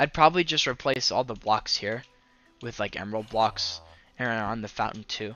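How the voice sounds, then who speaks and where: A man's voice with ordinary pitch variation at a moderate pace, music in the background. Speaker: gaming streamer. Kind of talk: let's play commentary. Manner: slurred words; casual, hesitant with fillers.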